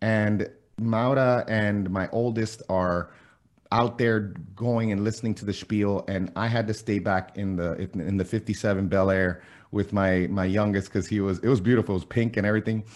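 In a quiet background, a man speaks at a moderate pace with a fairly low pitch. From Miami, US. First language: Spanish. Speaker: fitness and keto blogger, former college athlete and coach. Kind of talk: casual podcast interview.

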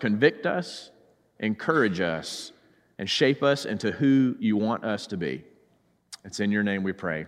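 A man speaks in a Southern US accent at a fairly slow pace. The recording is very clean, with a silent background. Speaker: preacher. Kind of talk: sermon. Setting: church.

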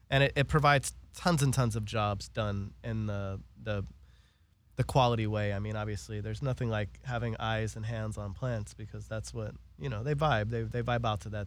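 An American accent at a fairly quick pace with ordinary pitch variation. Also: man. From Los Angeles, US. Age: 30s. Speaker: cannabis radio show host. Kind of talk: casual chat. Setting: studio.

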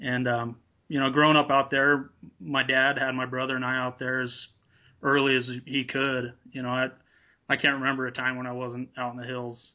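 With an American accent, a man speaks at a moderate pace in a monotone, flat intonation. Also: medium pitch for a man. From Nevada, US. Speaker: apparel business owner and hunter. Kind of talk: interview.

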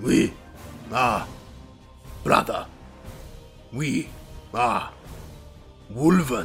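Over clear music in the background, a man growls in a put-on character voice at a medium pitch, speaking very slowly with long, frequent pauses. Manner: growling, guttural.

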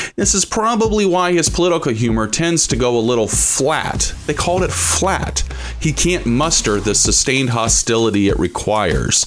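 A man with an American accent speaks in an enthusiastic tone at a moderate pace, with hardly any pauses, very even loudness and noticeable background noise. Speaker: college radio host. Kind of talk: radio show introduction. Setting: studio. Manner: enthusiastic, announcer-style build-up; rambling with filler 'uh'.

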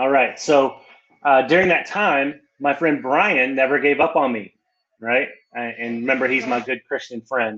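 With an American accent, a man in an ordinary speaking voice talks at medium pitch and a moderate pace with ordinary pitch variation. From West Texas. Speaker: pastor. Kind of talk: testimony. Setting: remote call from his church.

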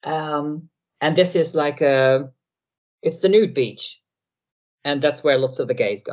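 A fairly slow delivery in a Dutch accent, broken by long, frequent pauses. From Netherlands. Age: 40s. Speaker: satirical YouTuber. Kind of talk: interview.

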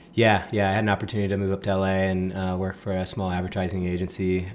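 A man talks in an American accent at a very deep, low pitch. His intonation stays monotone and flat. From US West Coast. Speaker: apparel brand founder. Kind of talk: casual chat.

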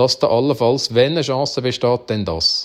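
A man with a Uri accent, medium pitch, ordinary pitch variation and a fairly slow pace. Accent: Uri Swiss German dialect. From Switzerland, canton Uri. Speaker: farmer and cattle breeder. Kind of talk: interview, personal story.

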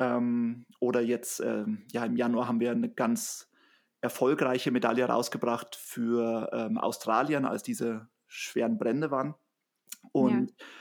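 A man talks at a fairly slow pace. The recording is very clean, and the background is silent. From Bavaria, Germany. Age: 30s. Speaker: trail runner and social business founder. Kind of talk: casual interview.

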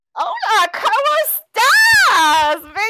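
A put-on character voice, squeaky and extremely high, comes at a fairly slow pace with a playful tone. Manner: playful, flirtatious.

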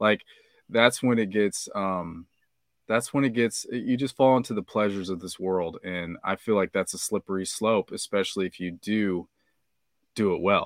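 A man speaks at a moderate pace with ordinary pitch variation. The sound is dry and close with no echo, and the recording is very clean over a silent background. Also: fairly low pitch for a man. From Kansas, US Midwest. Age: 30s. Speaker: podcaster and amateur rapper. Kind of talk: casual chat.

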